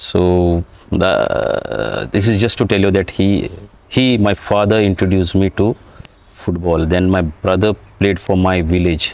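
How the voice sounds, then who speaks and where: A man's very deep, low voice at very even loudness. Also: fairly even intonation. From India, Goa (Bardez, North Goa). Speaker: retired footballer. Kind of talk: interview. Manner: halting, many fillers and restarts.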